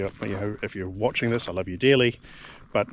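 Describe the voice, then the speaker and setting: With a New Zealand accent, a man speaks at a very fast pace with ordinary pitch variation. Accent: New Zealand accent, called weird by himself. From New Zealand (Nelson). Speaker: homesteading vlogger. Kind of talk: casual monologue vlog. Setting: outdoors, walking around homestead. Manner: halting, many fillers and repetitions.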